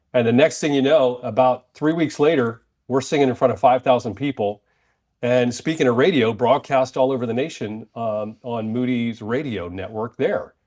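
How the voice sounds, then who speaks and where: Against a quiet background, a man with an American accent speaks at a moderate pace and medium pitch, with ordinary pitch variation. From United States. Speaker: ministry leader. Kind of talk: casual interview. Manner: animated.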